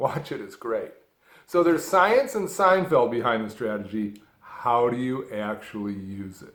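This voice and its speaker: Man at a medium pitch, fairly slow, with very wide pitch swings and big swings in loudness. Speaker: stuttering self-help speaker. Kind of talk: motivational talk to camera.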